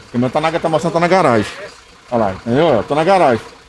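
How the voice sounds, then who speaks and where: A man's fairly high voice with lively intonation over noticeable background noise. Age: 50s. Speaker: garbage truck driver. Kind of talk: on-location interview.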